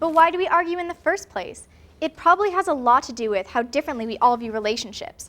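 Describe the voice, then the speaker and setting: A woman's high-pitched voice at a very fast pace, with very wide pitch swings and big swings in loudness. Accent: Canadian. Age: young. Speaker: TV reporter and host. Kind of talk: news reading. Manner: clear, formal broadcast delivery.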